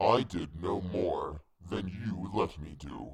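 Putting on a character voice, a man speaks at a low pitch with a slightly husky edge. His pace is slow and his pitch variation ordinary.

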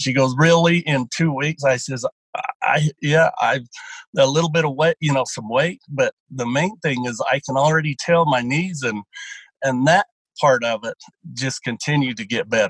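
Recorded with a dry, close sound and no echo, a man talks at a moderate pace and a fairly high pitch, somewhat breathy, with ordinary pitch variation. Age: 60s. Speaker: dairy farmer and draft horse racer. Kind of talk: interview about weight loss.

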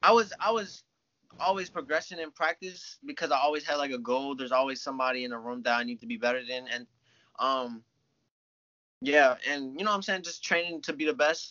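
A man talks fairly quickly with lively intonation and a fairly high pitch in a normal speaking voice. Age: 20s. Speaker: jiu-jitsu athlete. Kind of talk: casual chat.

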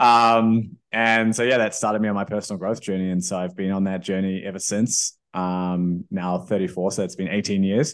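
In a New Zealand accent, a man with a fairly low pitch talks at a moderate pace. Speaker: entrepreneur and investor. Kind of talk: interview.

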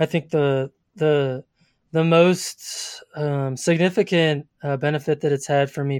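The sound is dry and close with no echo and a quiet background as a man speaks in a fairly high, monotone voice with flat intonation. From Colorado, US. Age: 30s. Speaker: podcast host, landscape photographer. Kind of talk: interview, answering questions. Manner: hesitant, many ums and uhs.

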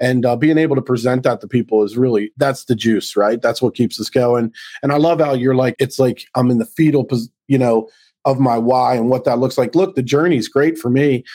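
A man has an unremarkable speaking voice at a medium pitch, with fairly even intonation and very even loudness. He moves at a fairly quick pace, and the sound is dry and close with no echo. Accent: American. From Baltimore, US Mid-Atlantic. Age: 50s. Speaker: business consultant. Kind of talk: podcast interview.

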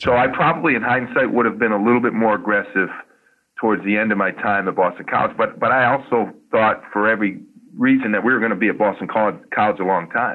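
A man with an American accent, medium pitch, ordinary pitch variation and a very fast pace. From northeastern US. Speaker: college basketball coach. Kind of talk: interview. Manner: hesitant, many fillers.

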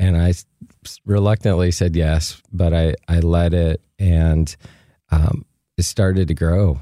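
A man speaks fairly slowly in a very deep, low voice with a dark, mellow tone and fairly even intonation. The sound is dry and close, with no echo. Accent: American. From US Midwest, Michigan. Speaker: pastor and church leader.

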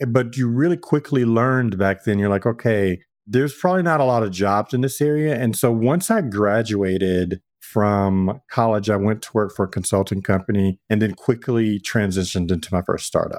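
With an American accent, a man speaks in an unremarkable speaking voice at a fairly low pitch, keeping a moderate pace with hardly any pauses. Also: ordinary pitch variation. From Texas. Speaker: chief product and technology officer. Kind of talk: interview.

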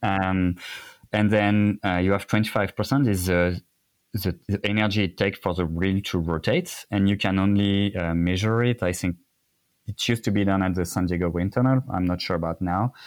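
In a very clean recording with a silent background, a man with a French accent speaks in a fairly low voice. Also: fairly even intonation, moderate pace. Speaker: cycling industry expert. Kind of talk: casual interview chat. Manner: halting, many fillers.

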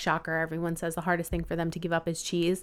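A woman talks in an American accent. The recording is very clean, with a silent background. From Long Island, New York. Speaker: vegan blogger and body positivity advocate. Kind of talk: casual chat.

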